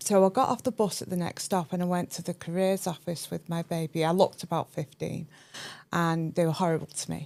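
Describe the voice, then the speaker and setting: With a northern English accent, a woman with a fairly low pitch talks at a fairly quick pace with fairly even intonation. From northern England, Cheshire. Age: 50s. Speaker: chartered accountant and entrepreneur. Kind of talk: podcast interview, personal story.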